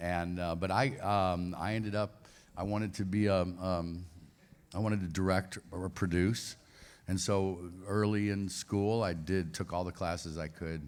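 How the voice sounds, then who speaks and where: A man's very deep, low pitch with fairly even intonation, on a very clean recording with a silent background. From US Midwest, St. Louis. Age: 60s. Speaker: actor. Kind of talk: convention panel interview.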